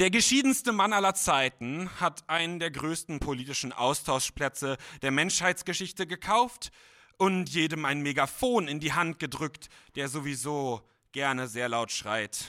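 The voice has a bright, sharp tone and lively intonation at a fairly slow pace. The recording is very clean, with a silent background. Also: man, fairly high pitch for a man. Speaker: writing competition participant. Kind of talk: reading aloud. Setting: stage with audience.

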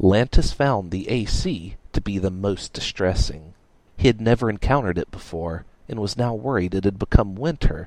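A natural voice reads the text aloud.

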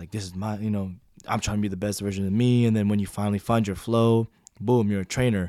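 With an American accent, a man speaks at a very fast pace in a fairly low pitch, his dark, mellow tone and monotone, flat intonation captured in a very clean recording with a silent background. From US Pacific Northwest, Washington. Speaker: podcast host, military member. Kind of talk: casual chat.

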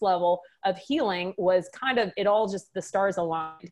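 Speaking with a slight Texan accent, a woman uses a medium pitch, a moderate pace and ordinary pitch variation. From Texas, Waco. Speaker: wellness business owner, former physician. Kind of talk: podcast interview.

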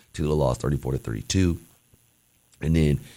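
A man speaks at a fairly slow pace with a very deep, low pitch and vocal fry. His pitch varies in an ordinary way. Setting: college radio studio.

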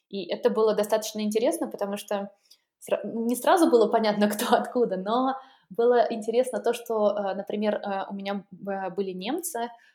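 At a moderate pace, a woman speaks in an ordinary speaking voice with medium pitch and ordinary pitch variation. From Russia, St Petersburg area. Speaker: airline employee and blogger. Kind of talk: interview.

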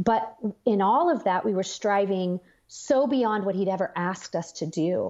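A woman with a plain, everyday voice speaks at a moderate pace with lively intonation against a quiet background. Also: medium pitch for a woman. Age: 40s. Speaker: author and speaker. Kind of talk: interview about faith.

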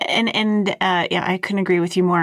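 Here a woman speaks with a Canadian accent at a fairly low pitch. Her delivery is fairly quick and monotone, with flat intonation. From Toronto area, Canada. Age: 40s. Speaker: podcast host on workplace experience. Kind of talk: podcast interview.

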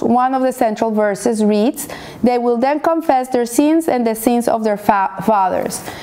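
A woman's fairly high voice at a moderate pace, with ordinary pitch variation and noticeable background noise. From Colombia. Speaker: Torah teacher. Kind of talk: weekly Torah lesson.

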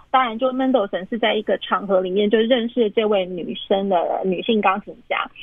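Her voice fairly high, a woman talks at a moderate pace with hardly any pauses and ordinary pitch variation. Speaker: pianist. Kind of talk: interview about classical music. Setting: phone call. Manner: hesitant, many fillers. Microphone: phone recording.

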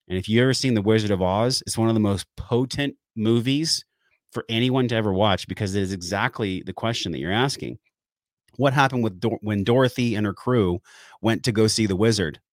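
An unremarkable speaking voice, a man with an American accent talks at a fairly quick pace and fairly low pitch, in a very clean recording with a silent background and a dry, close sound with no echo. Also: ordinary pitch variation. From San Diego area, California. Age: 40s. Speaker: wellness podcast host and breathwork trainer. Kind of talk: interview conversation.

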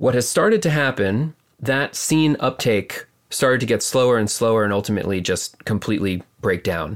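This man has a normal speaking voice with a medium pitch. He talks at a moderate pace with ordinary pitch variation. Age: 30s. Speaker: artist. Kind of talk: casual chat. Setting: remote call from home.

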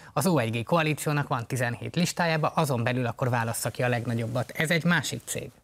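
Talking at a fairly quick pace, a man has an ordinary speaking voice, with medium pitch and ordinary pitch variation. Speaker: party co-leader, politician. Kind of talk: political interview.

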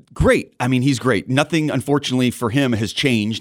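Speaking at a fairly quick pace, a man uses a normal speaking voice with an American accent and ordinary pitch variation. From Southern California. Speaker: TV news journalist. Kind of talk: casual chat.

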